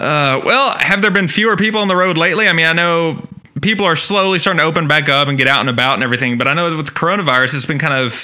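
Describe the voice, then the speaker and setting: A man speaks very fast with a fairly high pitch and lively intonation. Room echo is audible. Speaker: podcast host. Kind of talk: casual chat. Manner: stutters at times.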